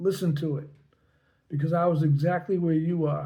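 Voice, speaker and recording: With audible room echo, a man speaks at a moderate pace in a dark, mellow tone and fairly even intonation. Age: 70s. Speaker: health vlogger. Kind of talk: personal testimony. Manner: casual, slightly halting.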